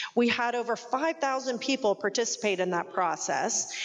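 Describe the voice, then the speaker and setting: Fairly quick speech with lively intonation over noticeable background noise. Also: woman. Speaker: chamber of commerce president. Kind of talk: public speech. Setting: stage with audience. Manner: animated.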